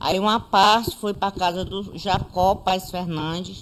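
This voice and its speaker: Against noticeable background noise, a woman talks at a medium pitch with fairly even intonation. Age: 60s. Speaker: conflict survivor. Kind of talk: testimony.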